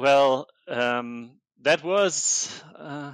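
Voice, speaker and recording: A man with a German accent is recorded in a dry, close sound with no echo against a quiet background. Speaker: software engineer. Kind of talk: casual interview conversation. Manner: halting, many repetitions.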